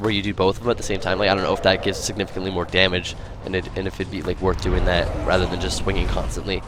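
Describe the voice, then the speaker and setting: A man talks at a very fast pace with hardly any pauses, in a very deep, low pitch. His intonation is monotone and flat, and noticeable background noise is present. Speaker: game streamer. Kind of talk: live gameplay commentary. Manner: halting.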